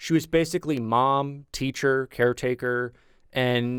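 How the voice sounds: The speaker uses a natural reading voice with fairly even intonation.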